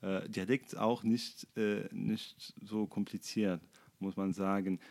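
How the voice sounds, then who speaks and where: Very slowly, a man speaks in a fairly low pitch. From Tunisia, Sfax. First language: Arabic (speaking German). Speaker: doctor. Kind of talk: casual chat. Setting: flatshare kitchen table. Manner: halting, many fillers.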